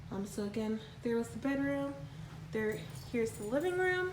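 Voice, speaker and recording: A woman speaks at a fairly slow pace. The room echo is audible, and background noise is noticeable. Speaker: vlogger. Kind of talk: home tour vlog. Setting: empty house at night, handheld. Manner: casual with many fillers.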